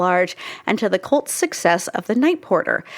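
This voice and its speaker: A woman speaks in a Pacific Northwest accent with very wide pitch swings. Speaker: film podcast host. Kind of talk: reading aloud; casual chat.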